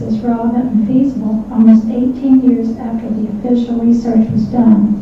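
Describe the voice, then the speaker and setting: In a room with audible echo and noticeable background noise, a woman with a fairly high pitch talks at a fairly quick pace in a monotone, flat way. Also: hardly any pauses. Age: 70s. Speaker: public commenter at city council meeting. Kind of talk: public comment at council meeting.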